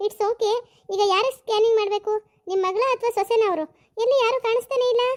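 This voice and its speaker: In a cartoonish character voice, a woman speaks at an extremely high pitch and a moderate pace, with fairly even intonation, very even loudness and a dry, close sound with no echo. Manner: uses English words.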